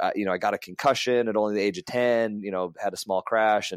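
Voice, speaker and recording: On a very clean recording with a silent background, a man with a plain, everyday voice and an American accent talks at a fairly quick pace, with medium pitch and ordinary pitch variation. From US West (California and Las Vegas). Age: 30s. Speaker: racing driver. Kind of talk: casual interview chat.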